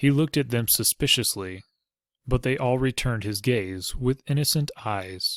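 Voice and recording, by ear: In a natural voice, someone reads aloud over a quiet background.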